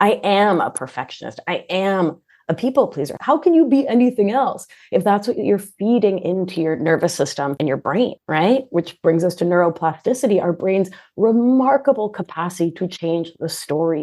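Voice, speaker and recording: With an American accent and a dark, mellow tone, a woman speaks at a moderate pace and a medium pitch, her pitch swinging very widely against a quiet background. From Argentina, raised in US from age three. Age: 40s. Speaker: nurse practitioner and life coach. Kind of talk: podcast interview. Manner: animated.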